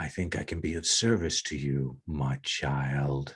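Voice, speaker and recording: A man puts on a character voice with a very deep, low pitch. He speaks at a fairly slow pace with ordinary pitch variation. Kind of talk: solemn, offering help.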